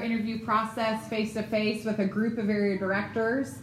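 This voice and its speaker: A fairly high-pitched woman's voice with audible room echo and noticeable background noise. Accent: American. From Ohio, US Midwest. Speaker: ministry staff trainer. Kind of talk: seminar talk. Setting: room with live audience.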